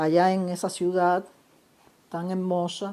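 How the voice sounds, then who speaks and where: A woman's dark, mellow voice moves at a very slow pace. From Cuba, Pinar del Río. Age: 60s. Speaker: novelist. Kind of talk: casual video monologue. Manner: halting, many fillers.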